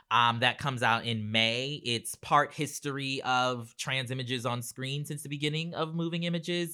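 A man's bright, sharp voice with an American accent, medium in pitch, at a moderate pace with ordinary pitch variation, on a very clean recording with a silent background. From US South, Charleston, South Carolina. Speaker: journalist and author. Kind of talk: interview conversation.

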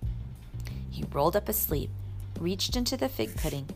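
Here the text is read aloud in a natural voice.

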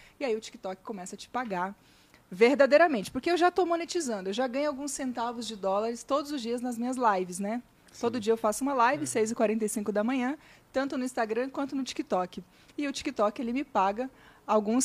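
On a very clean recording with a silent background, a woman with an ordinary speaking voice and fairly high pitch talks at a fairly quick pace with lively intonation and big swings in loudness. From Minas Gerais, Brazil (Vale do Jequitinhonha). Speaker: digital marketing influencer and speaker. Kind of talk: podcast interview.

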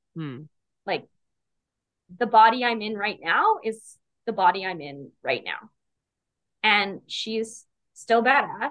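Speaking very slowly with long, frequent pauses, the voice has vocal fry, lively intonation and big swings in loudness. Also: woman, fairly high pitch for a woman. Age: 30s. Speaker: paralegal and coaching client. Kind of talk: casual interview chat.

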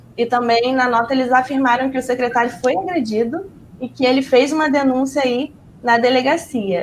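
A woman's voice with ordinary pitch variation. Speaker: journalist. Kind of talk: live news roundup.

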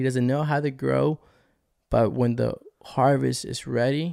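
A man with an American accent talks at a fairly slow pace on a very clean recording with a silent background. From Colombia, then Texas from age nine. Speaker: missions minister. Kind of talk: casual chat and faith testimony.

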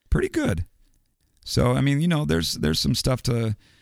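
A man is speaking. His voice carries vocal fry. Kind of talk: casual chat. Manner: halting, many repeated words.

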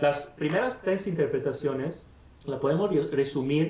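Audible room echo surrounds a man speaking at a fairly slow pace with ordinary pitch variation in an Italian accent. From northern Italy, Padua. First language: Italian (speaking Spanish). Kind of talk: interview.

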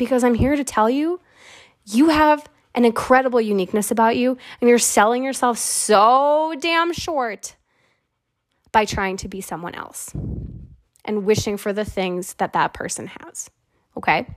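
In a very clean recording with a silent background, a woman with a high pitch speaks at a moderate pace in an animated tone, with lively intonation, big swings in loudness, and long, frequent pauses. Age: 20s. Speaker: podcast host. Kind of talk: casual solo monologue.

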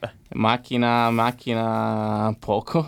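This man has a fairly low voice. The recording is very clean, with a silent background. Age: 20s. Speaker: racing driver. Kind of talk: casual chat.

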